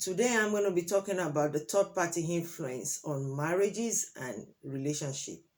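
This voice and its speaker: The speaker has a Nigerian accent and ordinary pitch variation. The recording is very clean, with a silent background. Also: woman. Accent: Nigerian (Yoruba) English. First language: Yoruba. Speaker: relationship advice vlogger. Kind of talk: opinion monologue to camera.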